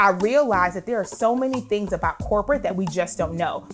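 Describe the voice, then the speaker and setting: A woman's voice with music in the background. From Liberia, raised in US. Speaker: career coach and executive. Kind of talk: vlog introduction. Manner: fast when excited.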